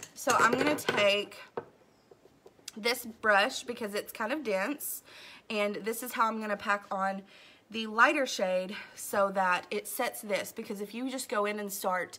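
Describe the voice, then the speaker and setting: A woman speaks at a fairly slow pace. Her tone is bright and sharp, and her pitch is fairly high. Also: fairly even intonation. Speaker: beauty vlogger. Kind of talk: makeup tutorial. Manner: casual, chatty.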